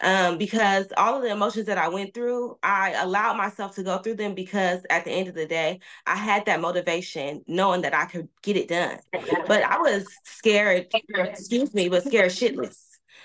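A woman at a moderate pace with ordinary pitch variation, hardly any pauses and a quiet background. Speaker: new real estate agent. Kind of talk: testimony. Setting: video call. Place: home room. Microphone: video call.

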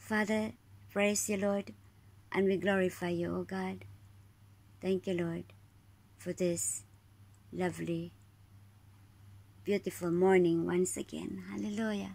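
A woman at a fairly slow pace, with long, frequent pauses. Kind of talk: spoken prayer. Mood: calm, devout, thankful. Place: home room. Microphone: phone near.

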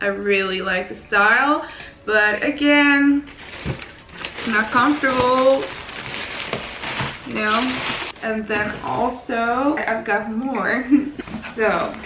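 Raspy and bright with a sharp edge, a woman speaks at a slow pace with long, frequent pauses. Room echo is audible. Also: fairly high pitch for a woman, ordinary pitch variation.

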